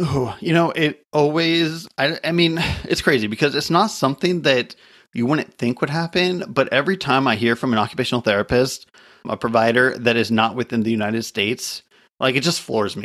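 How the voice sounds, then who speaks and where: A man with an ordinary speaking voice talks fairly quickly at a medium pitch with lively intonation, on a very clean recording with a silent background. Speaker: podcast host. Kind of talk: casual interview chat.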